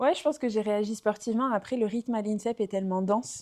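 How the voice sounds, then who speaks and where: Pitched in the medium range, a woman talks with fairly even intonation. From southwest France, Aveyron. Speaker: former professional basketball player. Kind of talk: podcast interview. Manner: hesitant, many fillers.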